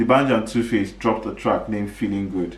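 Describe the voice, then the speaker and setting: Fairly quick and animated, a man with a fairly low pitch and vocal fry talks amid audible room echo. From Nigeria. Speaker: podcast host. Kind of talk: casual commentary monologue. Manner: fast.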